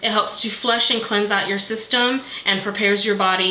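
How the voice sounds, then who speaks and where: A woman speaks at a moderate pace and a medium pitch, with ordinary pitch variation, noticeable background noise and audible room echo. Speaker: beauty vlogger. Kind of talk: casual vlog monologue.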